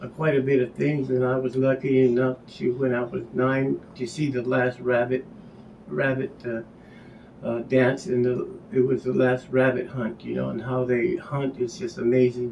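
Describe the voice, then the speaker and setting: Over noticeable background noise, a man with an American accent speaks at medium pitch and a moderate pace with ordinary pitch variation. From Hopi, northeastern Arizona. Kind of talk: casual show-and-tell introduction. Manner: halting, many fillers.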